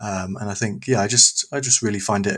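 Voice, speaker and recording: In a very clean recording with a silent background, a man with a London accent talks at a moderate pace in a fairly low pitch. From East London. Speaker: youth pastor. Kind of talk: casual chat.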